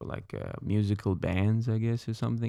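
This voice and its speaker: A man with an Iraqi accent has a dark, mellow tone. It is a very clean recording with a silent background. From Iraq, Baghdad. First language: Arabic. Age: 30s. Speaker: Iraqi immigrant, former military interpreter. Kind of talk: casual interview.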